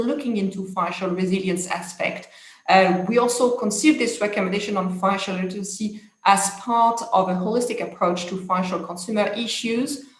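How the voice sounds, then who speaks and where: With a French accent, a woman talks at a fairly quick pace in a fairly high pitch, and audible room echo surrounds her voice. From France. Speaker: international policy expert. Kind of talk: conference talk. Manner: hesitant, many fillers.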